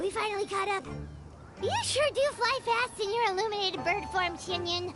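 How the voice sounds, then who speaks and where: A put-on character voice, female-sounding and pitched extremely high for a woman. Loud background noise runs underneath. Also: moderate pace. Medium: video game. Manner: chatty, refers to herself in third person.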